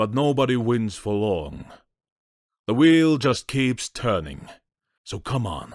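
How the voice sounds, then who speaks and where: In a very clean recording with a silent background, a man performs a put-on character voice. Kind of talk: impassioned dramatic speech. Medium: fan dub. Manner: intense, rhetorical, sardonic.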